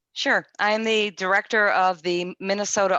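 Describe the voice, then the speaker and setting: The voice has a bright, sharp tone and a New England accent. The sound is dry and close with no echo, over a quiet background. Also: woman. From Connecticut. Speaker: state government official. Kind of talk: panel presentation.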